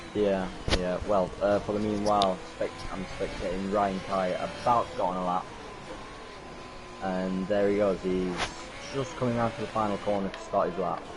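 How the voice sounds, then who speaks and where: Quietly and with long, frequent pauses, a man talks at a moderate pace and a fairly low pitch, his intonation fairly even, with audible room echo and music in the background. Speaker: sim racing commentator. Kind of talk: live commentary. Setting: online voice party. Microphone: too quiet on stream.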